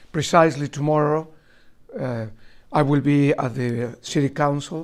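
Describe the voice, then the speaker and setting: With a Spanish accent, a man speaks at a fairly slow pace. His pitch is fairly high and his intonation fairly even. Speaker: archbishop. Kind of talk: lecture. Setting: college talk with students. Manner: halting, with many fillers.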